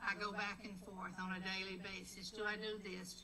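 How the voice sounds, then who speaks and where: A woman speaks at a medium pitch. Noticeable background noise and audible room echo surround her. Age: 80s+. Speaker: congregant and former minister. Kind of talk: community meeting remarks.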